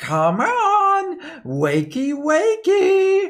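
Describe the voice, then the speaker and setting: The speaker uses a put-on character voice that is whiny and extremely high in pitch. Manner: annoying, pestering.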